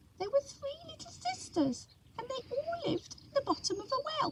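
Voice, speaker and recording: A woman's put-on character voice, squeaky and extremely high-pitched, with very wide pitch swings and big swings in loudness. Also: moderate pace. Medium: read story. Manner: sleepy, slow.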